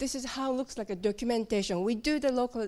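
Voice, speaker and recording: A voice with a Japanese accent comes through on a very clean recording with a silent background. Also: woman. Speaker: localization team member at a software company. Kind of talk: conference talk. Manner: halting.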